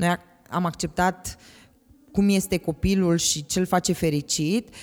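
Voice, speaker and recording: This woman has a fairly low pitch. Her intonation is fairly even. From Romania, Galați. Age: 40s. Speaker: parent of a transgender teen. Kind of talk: interview. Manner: hesitant, many fillers.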